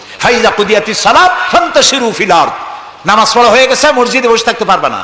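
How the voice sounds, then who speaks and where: Through noticeable background noise, a man speaks in a raised, projected voice. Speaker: Islamic preacher. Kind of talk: Islamic sermon (waz).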